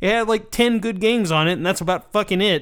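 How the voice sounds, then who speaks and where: Here a man talks at a very fast pace. His voice is high, with ordinary pitch variation. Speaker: podcast host. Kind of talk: casual profane banter.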